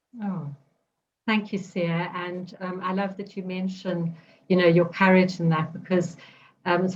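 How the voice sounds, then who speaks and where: A woman speaks at a moderate pace. Her voice is somewhat breathy, with monotone, flat intonation. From South Africa. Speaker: podcast host and women's circle facilitator. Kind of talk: interview conversation. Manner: hesitant, many ums.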